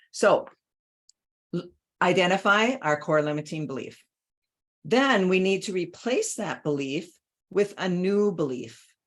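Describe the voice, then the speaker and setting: At a fairly slow pace broken by long, frequent pauses, a woman speaks with lively intonation at a medium pitch. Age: 60s. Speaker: life coach. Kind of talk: talk. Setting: online summit presentation.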